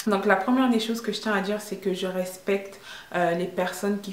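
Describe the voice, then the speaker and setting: A woman's voice at medium pitch, with audible room echo and noticeable background noise. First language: English (speaking French). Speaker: vlogger. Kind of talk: opinion vlog monologue. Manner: hesitant, many fillers.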